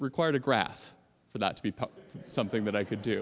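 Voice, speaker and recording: A man is speaking. His intonation is lively. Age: 40s. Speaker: lay worship leader. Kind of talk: testimony.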